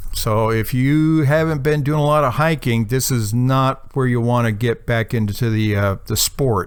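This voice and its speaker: A man with a plain, everyday voice talks at a moderate pace and medium pitch, with ordinary pitch variation. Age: 60s. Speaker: amateur radio hiker. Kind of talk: video recap of hike and radio activation. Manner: casual, with frequent fillers.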